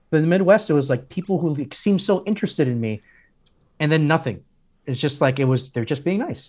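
A man with an American accent, fairly high in pitch, talking very fast with ordinary pitch variation. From Miami, Florida (Cuban American). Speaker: pastor. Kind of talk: interview.

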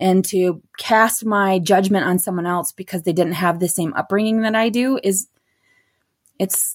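On a very clean recording with a silent background, a medium-pitched woman with a Michigan accent talks at a moderate pace with fairly even intonation. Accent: Upper Midwest (Michigan) American. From Michigan (Beaverton). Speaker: non-profit director. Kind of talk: interview.

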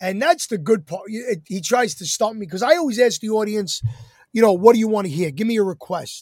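This man talks fairly quickly with an American accent, lively intonation and a high pitch. His loudness swings widely. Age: 50s. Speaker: entertainer. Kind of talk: casual chat.

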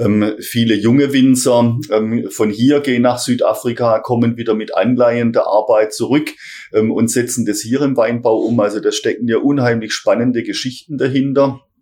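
Monotone, flat intonation from a man at medium pitch, moving at a moderate pace. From Heilbronn area, Württemberg. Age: 50s. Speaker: city marketing managing director. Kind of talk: interview. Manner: hesitant, many fillers.

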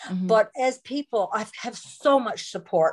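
With a Newfoundland accent, a woman talks at a moderate pace on a very clean recording with a silent background. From Newfoundland and Labrador, Canada. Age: 60s. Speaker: author and former counselor. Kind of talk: interview testimony.

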